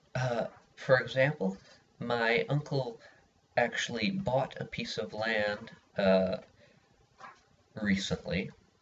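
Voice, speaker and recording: This man's delivery is very slow. There is ordinary variation in his pitch. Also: long, frequent pauses. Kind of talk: persuasive speech for class. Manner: hesitant, many filler words.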